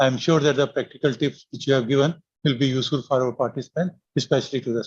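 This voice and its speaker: A somewhat breathy man at a medium pitch, very fast pace and fairly even intonation. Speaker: academy official, medical professor. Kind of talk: vote of thanks. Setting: video call. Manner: formal.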